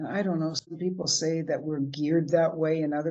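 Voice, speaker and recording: In a Canadian accent, a woman with a very deep, low voice talks at a fairly quick pace with flat, monotone intonation. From Canada. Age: 70s. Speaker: motivational speaker. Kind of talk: inspirational talk.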